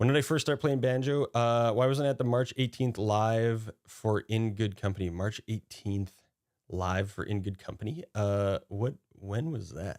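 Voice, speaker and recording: A man with a plain, everyday voice speaks at a medium pitch and a fairly slow pace. The sound is dry and close with no echo, on a very clean recording with a silent background. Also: ordinary pitch variation. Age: 30s. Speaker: streamer and musician. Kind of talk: casual chat. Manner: casual, profane.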